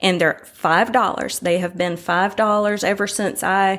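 With an American accent, a woman speaks at a fairly slow pace in medium pitch, in an unremarkable speaking voice. The recording is very clean with a silent background. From North Carolina, Winston-Salem. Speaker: artist. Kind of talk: interview.

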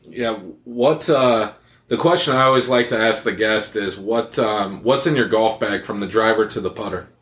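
An ordinary speaking voice from a man, medium in pitch with ordinary pitch variation, at a moderate pace with hardly any pauses. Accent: American. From US Midwest. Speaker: podcast co-host. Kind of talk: casual chat.

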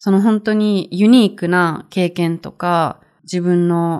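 A woman's plain, everyday voice at a fairly low pitch, with ordinary pitch variation, in a very clean recording with a silent background. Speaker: Japanese teacher podcaster. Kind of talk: language-learning podcast monologue.

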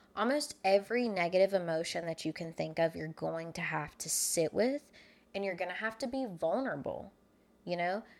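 A woman with lively intonation, an ordinary speaking voice and a moderate pace. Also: medium pitch for a woman. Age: 20s. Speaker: social media manager. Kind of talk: casual chat.

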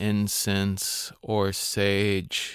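This man has a fairly low pitch. His tone is calm and soothing. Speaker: meditation guide podcaster. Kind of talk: guided meditation. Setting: solo recording for podcast. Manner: slow, calm and soothing, with long pauses; gentle, instructive, inviting listeners to repeat affirmations.

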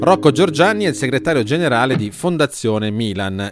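Words pour out of a man at a very fast pace. The intonation rises and falls in a lively way. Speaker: podcast host. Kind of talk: interview. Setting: home studio.

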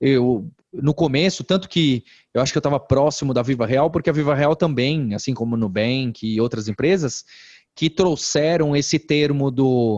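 A man with fairly high pitch and ordinary pitch variation talks at a moderate pace in a plain, everyday voice, his sound dry and close with no echo. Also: quiet background. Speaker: edtech company founder. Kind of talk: interview conversation.

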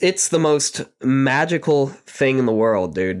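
Over a quiet background, a man talks at a medium pitch with very wide pitch swings. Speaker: podcast host, recovering addict. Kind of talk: personal monologue. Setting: home recording with microphone. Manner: shaky.

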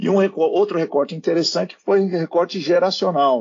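A man with a normal speaking voice, lively intonation and a moderate pace. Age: 50s. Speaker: company CEO. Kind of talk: interview.

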